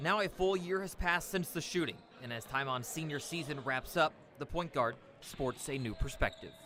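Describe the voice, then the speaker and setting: Speaking at a moderate pace, a man uses a plain, everyday voice, fairly high in pitch with ordinary variation. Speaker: sports reporter. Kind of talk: TV news sports package narration.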